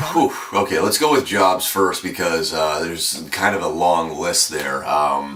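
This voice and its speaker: Noticeable background noise sits under the speech. It moves at a fairly slow pace with lively intonation. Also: man, very deep, low pitch for a man. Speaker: radio announcer. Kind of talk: interview.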